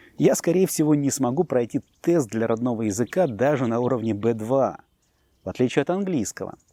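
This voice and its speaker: Recorded very cleanly with a silent background and a dry, close sound with no echo, a man speaks at medium pitch in a dark, mellow tone with lively intonation at a moderate pace. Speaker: language teacher. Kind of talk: scripted narration. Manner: formal.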